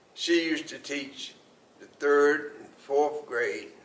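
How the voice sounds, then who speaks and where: Over audible room echo, a man with an American accent talks at a very slow pace. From US South, Mooresville, North Carolina. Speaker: oral history interviewee. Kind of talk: oral history interview.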